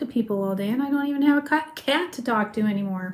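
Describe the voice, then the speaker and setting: Soft-spoken and mumbling, a woman rushes along at a very fast pace over noticeable background noise. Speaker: crafting video host. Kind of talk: casual chat.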